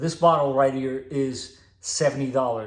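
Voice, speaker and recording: The voice is somewhat breathy with fairly even intonation. The pace is fairly slow. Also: man. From Portugal (Lisbon). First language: Portuguese. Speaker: automotive technician and car vlogger. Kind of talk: casual vlog tutorial. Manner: casual, conversational.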